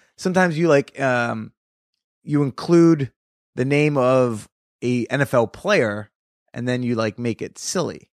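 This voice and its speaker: A man with an American accent speaks in an animated tone with ordinary pitch variation, the sound dry and close with no echo and the recording very clean with a silent background. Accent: New Jersey, denied by him. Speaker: comedian podcast host. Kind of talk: casual chat. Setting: recorded in person at guest's place.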